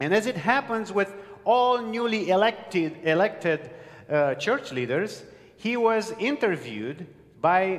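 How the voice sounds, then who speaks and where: A man with a non-native accent talks with very wide pitch swings. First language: not English. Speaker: pastor. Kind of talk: sermon. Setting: church with live congregation.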